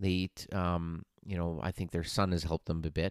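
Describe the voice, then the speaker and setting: The sound is dry and close with no echo, on a very clean recording against a silent background. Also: man. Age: 40s. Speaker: fitness and nutrition coach, podcast host. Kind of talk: solo podcast monologue. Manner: casual, with many filler words.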